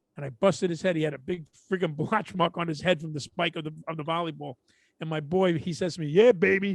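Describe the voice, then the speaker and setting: Talking at a very fast pace in a Brooklyn accent, a man with a high pitch and ordinary pitch variation is heard in a dry, close sound with no echo. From Brooklyn, New York. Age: middle-aged. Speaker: podcast co-host. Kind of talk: casual chat.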